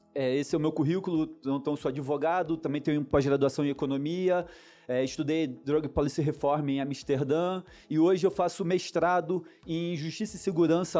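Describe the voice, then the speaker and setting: Fairly high-pitched, a man talks at a fairly quick pace in a dark, mellow tone. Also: quiet background. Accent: Rio de Janeiro. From Niterói, Rio de Janeiro, Brazil. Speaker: lawyer. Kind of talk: conference talk.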